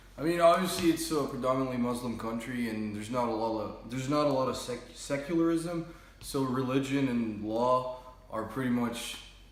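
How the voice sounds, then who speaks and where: A man with an American accent and a medium pitch talks at a fairly quick pace with ordinary pitch variation, his voice carrying audible room echo over noticeable background noise. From Jordan (Amman), American-born. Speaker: interviewee, student. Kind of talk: casual interview. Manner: casual, hesitant with fillers.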